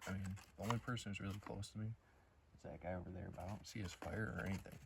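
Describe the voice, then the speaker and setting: A man speaks at a very fast pace in a very deep, low voice, his intonation fairly even and his tone somewhat breathy. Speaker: vlogger. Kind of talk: casual vlog. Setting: outdoors. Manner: whispering.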